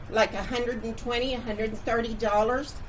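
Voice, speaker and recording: A woman with a fairly high pitch speaks amid noticeable background noise and audible room echo. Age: 70s. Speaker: resident speaking at public comment. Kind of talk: public comment at council meeting. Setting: crowded city council meeting room. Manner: indignant.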